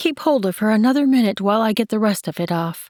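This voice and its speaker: Using a put-on character voice, a woman speaks at a fairly high pitch. Her pace is very fast and her intonation lively. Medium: read story. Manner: soft, gentle.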